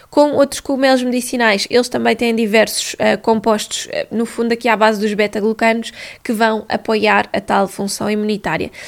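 At a moderate pace, a woman with a European Portuguese accent speaks at a fairly high pitch with fairly even intonation. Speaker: nutritionist podcast host. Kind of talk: solo educational talk. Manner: hesitant fillers.

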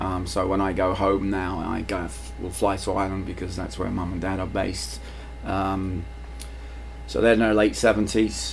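In a London accent, the speaker moves at a moderate pace with very wide pitch swings, and audible room echo surrounds the voice. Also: man, very deep, low pitch for a man. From London, England (Irish family). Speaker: high school PE teacher and soccer coach. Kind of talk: casual interview.

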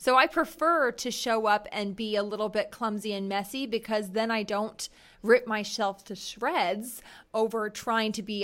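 A woman with a plain, everyday voice, fairly high in pitch, at a moderate pace with ordinary pitch variation. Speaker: podcast host, executive coach, entrepreneur. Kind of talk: casual interview chat.

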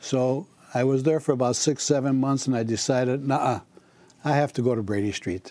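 His voice sits at a medium pitch with a dark, mellow tone. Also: ordinary pitch variation, moderate pace. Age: 80s. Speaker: market owner. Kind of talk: casual interview.

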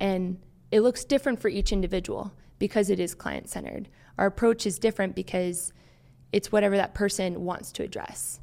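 In a very clean recording with a silent background, a woman with an American accent talks at a fairly quick pace in a medium-pitched, dark, mellow tone, with fairly even intonation and vocal fry. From US, Maryland. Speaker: occupational therapy student. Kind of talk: interview. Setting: studio.

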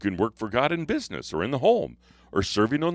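This man's voice sits at a medium pitch, shows vocal fry and swings very widely in pitch, all in a dry, close sound with no echo. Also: very clean recording, silent background. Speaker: pastor. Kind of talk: devotional talk.

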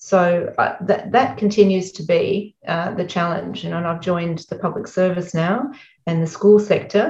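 A woman with an Australian accent speaks at a medium pitch and a moderate pace, sounding somewhat breathy. Her loudness swings widely while her pitch varies in an ordinary way. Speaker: education executive and author. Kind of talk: interview. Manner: blunt.

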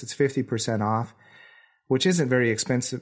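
A man with an American accent speaks in a plain, everyday voice at medium pitch, with fairly even intonation. The recording is very clean, with a silent background. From Wisconsin. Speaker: professional photographer, podcast co-host. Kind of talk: casual chat.

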